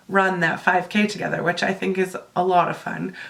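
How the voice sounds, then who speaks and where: Noticeable background noise behind a moderate pace and ordinary pitch variation. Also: woman. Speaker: book vlogger. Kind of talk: casual talk to camera.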